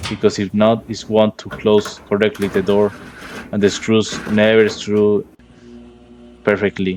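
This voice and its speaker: Fairly low in pitch, a man with a Spanish accent speaks at a fairly slow pace in a monotone, flat intonation. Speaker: HVAC and appliance repair technician. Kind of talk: tutorial. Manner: halting.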